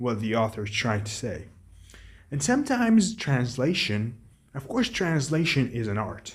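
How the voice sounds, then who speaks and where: A man speaks at a medium pitch with an Arabic accent. His voice is somewhat breathy. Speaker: book vlogger. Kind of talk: casual monologue. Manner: halting.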